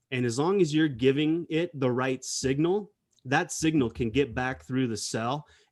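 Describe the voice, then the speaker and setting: At a fairly slow pace, a man with a plain, everyday voice speaks with ordinary pitch variation. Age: 40s. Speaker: corporate scientist. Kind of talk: casual chat. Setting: video call.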